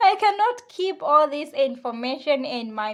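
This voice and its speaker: A woman speaks with a non-native accent. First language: not English. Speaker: beauty vlogger. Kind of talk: tutorial. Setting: at home. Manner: halting.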